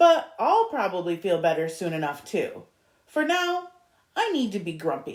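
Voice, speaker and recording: A woman performs a put-on character voice at a fairly high pitch, with very wide pitch swings. Her pace is moderate. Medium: read story. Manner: sulky, insistent.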